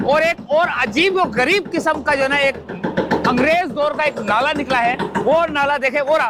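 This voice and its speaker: The speaker shouts in a raised, projected voice at very even loudness. Noticeable background noise is present. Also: man, extremely high pitch for a man, ordinary pitch variation, moderate pace. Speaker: YouTube reporter. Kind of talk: on-site field report. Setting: outdoors at construction site. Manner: loud, shouting over noise.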